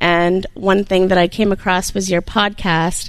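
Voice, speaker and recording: Speech moves at a moderate pace. Background noise is noticeable throughout. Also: woman. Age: 40s. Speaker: small business owner. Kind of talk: interview. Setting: studio.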